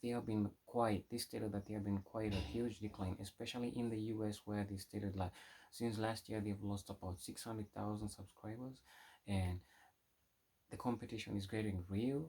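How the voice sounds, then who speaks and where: The man's voice has a dark, mellow tone and a fairly low pitch. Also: fairly even intonation, moderate pace. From Kenya. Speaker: tech YouTuber. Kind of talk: tech news vlog. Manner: halting, with frequent restarts.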